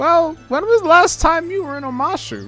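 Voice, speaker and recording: Over faint background music, a man puts on a character voice and speaks at a moderate pace. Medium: actual play. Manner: rambling, scatterbrained.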